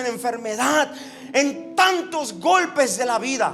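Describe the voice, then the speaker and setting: A man's voice sits at an extremely high pitch, moving at a fairly slow pace. Noticeable background noise and audible room echo fill the recording. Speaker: pastor. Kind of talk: sermon.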